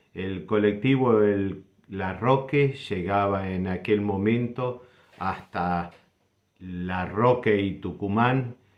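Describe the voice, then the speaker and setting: At a very slow pace, a man speaks with a fairly low pitch and ordinary pitch variation. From Argentina, Buenos Aires south suburbs (Banfield). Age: 60s. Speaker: doctor sharing local memories. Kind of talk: personal reminiscence.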